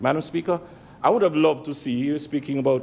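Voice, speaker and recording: A man speaks in a Montserratian accent. His intonation is lively. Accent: Montserratian Caribbean English. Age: 60s. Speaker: legislator. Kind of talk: parliamentary debate speech. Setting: legislative chamber.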